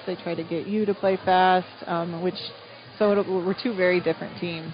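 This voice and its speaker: Music plays in the background as a woman speaks at a moderate pace. Her pitch is medium, with ordinary pitch variation. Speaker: girls basketball head coach. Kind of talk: post-game interview.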